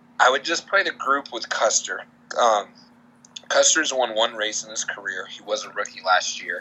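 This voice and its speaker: Talking at a moderate pace, a man shows big swings in loudness. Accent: American. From Boston area, Massachusetts. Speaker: sports betting podcaster. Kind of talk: casual chat.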